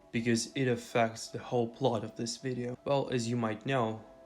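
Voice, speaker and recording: A man's voice with music in the background. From Eastern Europe. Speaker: gaming YouTuber. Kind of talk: video essay narration.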